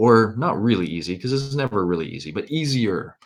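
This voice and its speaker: With a Canadian accent, a man talks at a fairly quick pace in a medium pitch that makes very wide swings. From Canada. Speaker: university lecturer. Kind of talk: lecture. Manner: casual, with many fillers.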